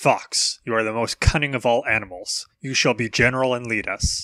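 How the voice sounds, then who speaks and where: A man uses a put-on character voice at medium pitch and a moderate pace, in a very clean recording with a silent background. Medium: read story.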